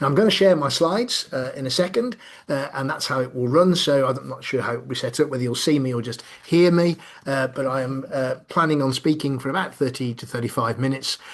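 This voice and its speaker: A man talks very fast at a medium pitch. His pitch varies in an ordinary way. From Birmingham, English Midlands. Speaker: business consultant and coach. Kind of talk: online lecture. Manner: frequent fillers, conversational.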